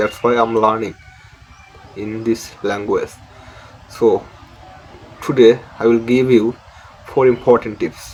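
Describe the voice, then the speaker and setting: Against noticeable background noise, a man with a medium pitch talks at a fairly slow pace in a monotone, flat intonation, leaving long, frequent pauses. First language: Bengali. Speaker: English learning YouTuber. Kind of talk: tutorial. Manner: halting.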